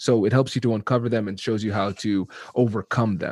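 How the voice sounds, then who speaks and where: A man speaks fairly quickly with a slight Caribbean accent, his pitch fairly low and his intonation fairly even. The sound is dry and close with no echo, over a quiet background. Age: 30s. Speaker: negotiation expert. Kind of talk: interview.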